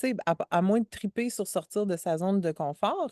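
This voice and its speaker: Against a quiet background, a woman's medium-pitched voice has a dark, mellow tone and a dry, close sound with no echo. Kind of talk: casual conversation. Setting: outdoors by a lake. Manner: slow.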